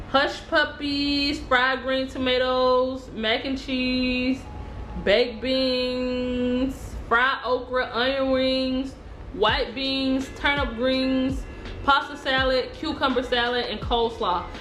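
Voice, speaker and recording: A woman talks very slowly in a Southern US accent, high-pitched and monotone with flat intonation. Noticeable background noise and audible room echo surround her. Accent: Southern US, lighter than Chattanooga locals. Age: 20s. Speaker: food vlogger. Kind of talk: casual food review vlog.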